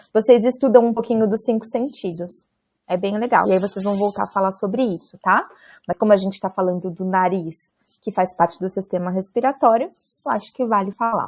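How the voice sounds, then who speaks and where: Here is a woman with a normal speaking voice at medium pitch. Her pace is fairly quick, with ordinary pitch variation. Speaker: university lecturer. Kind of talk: online lecture.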